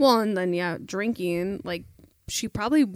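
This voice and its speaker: In a very clean recording with a silent background, a woman talks at a fairly quick pace and medium pitch in an ordinary speaking voice. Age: 30s. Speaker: podcast guest, host's wife. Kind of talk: casual chat.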